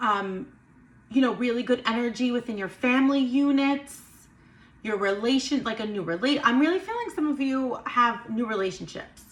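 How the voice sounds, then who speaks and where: Noticeable background noise sits under a woman speaking at a moderate pace. Her pitch is high, with ordinary variation. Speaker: tarot and intuitive reader. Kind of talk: astrology card reading monologue. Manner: stuttering at moments; casual, animated.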